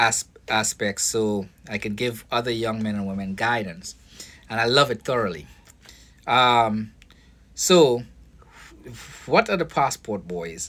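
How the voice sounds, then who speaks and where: The speaker has a Caribbean accent and talks at a fairly slow pace. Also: man. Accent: foreign (Caribbean). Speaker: vlogger, foster care worker and boxing coach. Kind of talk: casual monologue vlog. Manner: halting, many fillers and restarts.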